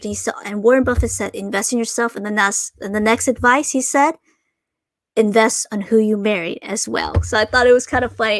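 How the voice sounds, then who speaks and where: Talking at a fairly quick pace, a woman has a slight Asian accent. Her pitch is fairly high, with ordinary variation. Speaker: Pokemon card collector and streamer. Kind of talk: live stream chat. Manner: hesitant, many fillers.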